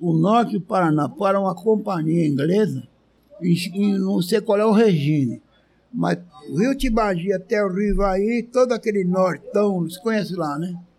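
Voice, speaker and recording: A man speaks at a moderate pace in a high voice. His pitch varies in an ordinary way. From interior of São Paulo state, Brazil. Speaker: retired agronomist. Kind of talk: casual interview. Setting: outdoors on a hotel veranda.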